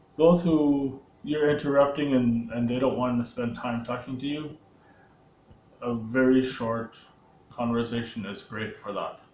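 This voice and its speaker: Speaking at a fairly slow pace, a man uses a medium pitch and fairly even intonation. Long, frequent pauses and audible room echo mark the recording. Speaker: sales coach. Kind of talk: tutorial. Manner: hesitant, with filler words.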